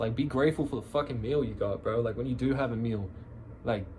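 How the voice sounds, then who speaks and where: Talking at a very fast pace, the man speaks in an Australian accent. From Australia, Canberra. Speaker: musician vlogger. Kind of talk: casual chat. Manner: casual, filler-heavy rambling.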